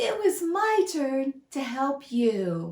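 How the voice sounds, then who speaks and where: A squeaky, put-on character voice from a woman, high in pitch with very wide pitch swings. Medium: read story.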